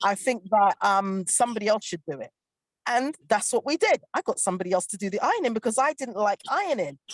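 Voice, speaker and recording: The delivery is very fast, animated and passionate, with lively intonation and a dry, close sound with no echo. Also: woman, fairly high pitch for a woman. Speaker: panel guest on relationship show. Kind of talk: panel discussion. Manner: animated, passionate.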